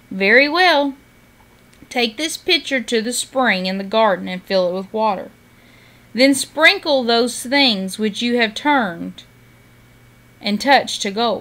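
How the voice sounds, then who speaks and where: A put-on character voice, female-sounding, at a fairly slow pace with long, frequent pauses. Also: fairly high pitch for a woman. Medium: read story. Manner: measured, solemn.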